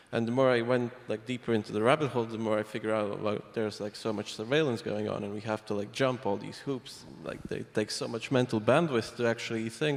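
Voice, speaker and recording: A man speaks at medium pitch with fairly even intonation. He leaves hardly any pauses. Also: fairly quick pace. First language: not English. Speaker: privacy software developer. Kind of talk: panel discussion.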